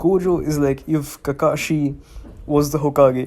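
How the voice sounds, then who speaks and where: With an Indian accent, a man talks at a fairly high pitch and fairly even intonation in a very clean recording with a silent background. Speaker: anime reviewer. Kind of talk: casual review monologue. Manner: casual, halting with self-corrections.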